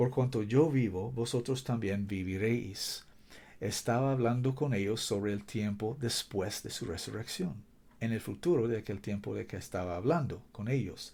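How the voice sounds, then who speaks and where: In a non-native accent, a somewhat breathy voice with a dark, mellow tone speaks at a fairly slow pace amid audible room echo. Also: man, medium pitch for a man, ordinary pitch variation. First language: not Spanish (speaking Spanish). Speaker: preacher. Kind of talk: sermon. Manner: halting, searching for words.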